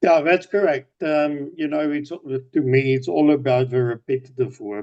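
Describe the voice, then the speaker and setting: With a South African accent, a man speaks at a fairly slow pace in a fairly high pitch with ordinary pitch variation. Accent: Afrikaans South African English. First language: Afrikaans. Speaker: business owner. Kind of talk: casual video-call chat. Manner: repetitive, halting with fillers.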